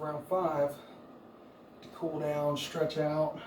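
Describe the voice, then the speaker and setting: A man with a fairly high pitch speaks in a monotone, flat intonation amid audible room echo and noticeable background noise. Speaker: fitness coach. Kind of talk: workout instruction. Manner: soft-spoken.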